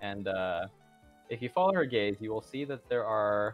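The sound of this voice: This is an unforced reading voice. The intonation is lively.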